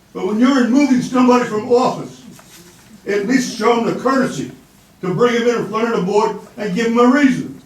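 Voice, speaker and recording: With an American accent and an extremely high pitch, a man talks at a fairly quick pace amid noticeable background noise and audible room echo. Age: 80s+. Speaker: former local official making public comment. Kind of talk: public comment at town meeting. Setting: town board meeting room. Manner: animated.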